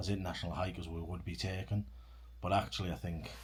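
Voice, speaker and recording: A man talks at a very fast pace with a very deep, low pitch and lively intonation. Audible room echo surrounds his voice. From Britain. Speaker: long-distance hiker and vlogger. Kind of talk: casual chat. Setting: indoors in a cabin.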